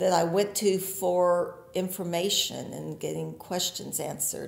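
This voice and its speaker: A woman with a fairly low pitch speaks with vocal fry. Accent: American. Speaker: farmer. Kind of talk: interview answer.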